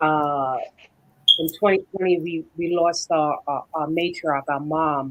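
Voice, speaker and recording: Speaking very slowly, a woman with a very deep, low pitch keeps her intonation fairly even. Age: 50s. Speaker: panel guest. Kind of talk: panel discussion. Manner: halting, many repetitions.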